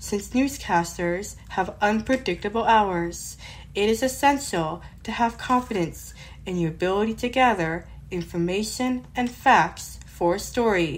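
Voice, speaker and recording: Somewhat breathy and at a medium pitch, a woman speaks at a fairly slow pace with ordinary pitch variation. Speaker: blind tech podcaster. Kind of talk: newscaster-style narration.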